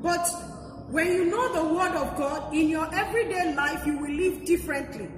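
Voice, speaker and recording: A woman with an extremely high voice talks at a moderate pace, her pitch varying in an ordinary way. Noticeable background noise and audible room echo surround her. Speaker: pastor. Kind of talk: sermon.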